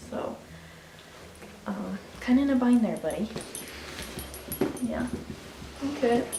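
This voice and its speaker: Whispering at a moderate pace, a woman is heard through noticeable background noise and audible room echo. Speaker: pet vlogger. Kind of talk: casual vlog. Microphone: quiet recording.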